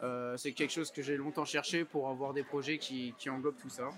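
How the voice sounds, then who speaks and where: In a fairly high voice, a man speaks with monotone, flat intonation. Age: 20s. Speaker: entrepreneur. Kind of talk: interview. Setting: rooftop. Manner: hesitant, many fillers.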